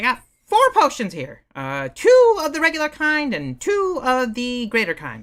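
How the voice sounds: A put-on character voice moves at a moderate pace with hardly any pauses and big swings in loudness. The recording is very clean, with a silent background. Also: woman, high pitch for a woman.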